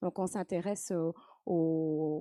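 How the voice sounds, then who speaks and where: A woman speaks very slowly in a fairly low voice with a dark, mellow tone. The sound is dry and close with no echo, and the background is quiet. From France, Nantes (Saint-Herblain). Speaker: professor of marine biogeochemistry. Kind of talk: interview. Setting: live stream with audience. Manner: hesitant, many fillers.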